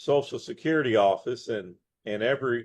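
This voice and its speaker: This man speaks at a moderate pace. His pitch varies in an ordinary way. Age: 60s. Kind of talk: casual chat. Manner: halting, many fillers and restarts.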